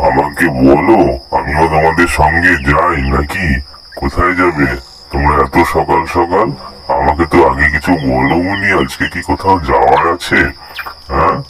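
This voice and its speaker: Loud background noise sits under a man's cartoonish character voice, pitched very deep and low and delivered at a fairly slow pace. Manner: lively, friendly.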